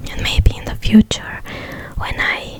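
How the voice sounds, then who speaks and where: Noticeable background noise fills the clip. Through it, a woman whispers. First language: non-native English speaker. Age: 20s. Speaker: ASMR creator. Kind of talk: ASMR Q&A talk to camera. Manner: whispered.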